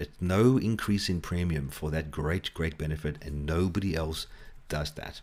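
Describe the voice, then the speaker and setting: A man with a South African accent speaks at a moderate pace. The recording is very clean, with a silent background. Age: 40s. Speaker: financial advisor. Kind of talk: tutorial.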